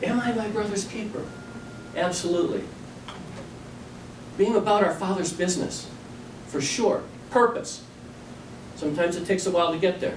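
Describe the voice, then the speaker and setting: With noticeable background noise and audible room echo, a man with a high pitch talks at a fairly quick pace, using ordinary pitch variation and long, frequent pauses. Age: 60s. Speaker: toastmasters club speaker. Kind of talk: practice speech.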